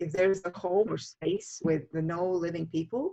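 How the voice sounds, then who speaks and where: A woman talks with a Latvian accent. Her pace is fairly slow. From Latvia, Riga. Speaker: feng shui master. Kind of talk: interview. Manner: halting.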